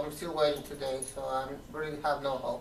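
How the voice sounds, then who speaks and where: A Spanish accent at a fairly quick pace, with noticeable background noise. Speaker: video diary vlogger. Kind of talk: casual video diary. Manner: halting, many fillers.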